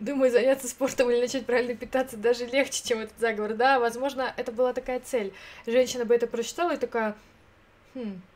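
A woman talks at a very fast pace in a high, animated voice. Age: 30s. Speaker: streamer. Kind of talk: casual chat. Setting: live stream.

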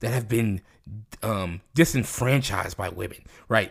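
Somewhat breathy speech comes through in a very clean recording with a silent background. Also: man. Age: 20s. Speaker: podcast co-host. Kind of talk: casual chat. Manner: halting, many filler words.

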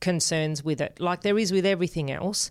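An Australian accent at a fairly quick pace, with ordinary pitch variation, on a very clean recording with a silent background. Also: woman. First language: Spanish. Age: 40s. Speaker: podcast co-host. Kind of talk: casual interview.

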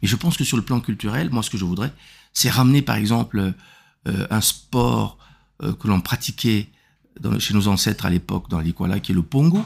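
Vocal fry colors a man's fairly low pitch as he talks at a moderate pace in a very clean recording with a silent background. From Republic of the Congo. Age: 60s. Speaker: regional politician. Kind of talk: interview. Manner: halting, with repetitions and fillers.

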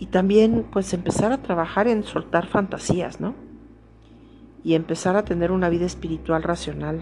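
Moderately paced speech from a woman, with noticeable background noise. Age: 50s. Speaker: spiritual podcaster. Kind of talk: personal monologue. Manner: halting.

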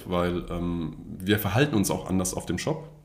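Audible room echo surrounds a man whose voice is very deep and low in pitch. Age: 30s. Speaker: data architect. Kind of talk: interview. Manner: halting.

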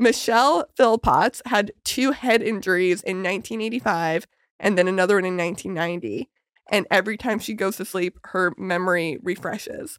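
On a very clean recording with a silent background and dry, close sound with no echo, a plain, everyday voice speaks at a moderate pace with ordinary pitch variation. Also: woman, medium pitch for a woman. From Calgary, Canada. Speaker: podcast host and stand-up comedian. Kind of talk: casual chat. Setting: studio.

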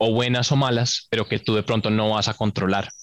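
The man's monotone, flat delivery comes through a dry, close sound with no echo. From Colombia, Bogotá. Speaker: entrepreneur and engineer. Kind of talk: casual interview. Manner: hesitant, many fillers.

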